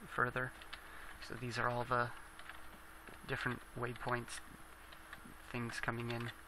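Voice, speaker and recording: Mumbling at a moderate pace, a man speaks at a medium pitch with monotone, flat intonation, amid noticeable background noise and audible room echo. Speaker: gaming video creator. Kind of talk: gameplay commentary. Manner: halting.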